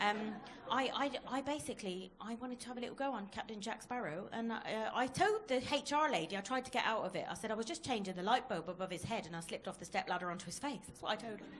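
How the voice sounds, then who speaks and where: Over noticeable background noise, a voice in a Plymouth accent speaks very fast with lively intonation. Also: woman, fairly high pitch for a woman. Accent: Plymouth (janner) dialect, noticeable. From Plymouth, Devon, England. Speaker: stand-up comedian. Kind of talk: stand-up. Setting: comedy club stage with audience.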